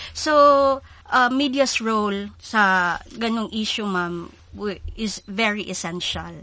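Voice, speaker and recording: A woman's bright, sharp voice at medium pitch, in a Philippine accent, very slow and full of long, frequent pauses, with ordinary pitch variation. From Cebu, Visayas, Philippines. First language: Cebuano (speaking Tagalog). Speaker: newspaper reporter and editor. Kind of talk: radio interview. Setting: studio.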